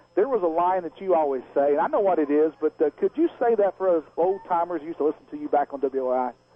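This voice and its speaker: A man's high-pitched voice in a Texan accent, very fast with hardly any pauses and ordinary pitch variation. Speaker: radio play-by-play announcer. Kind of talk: live halftime radio interview.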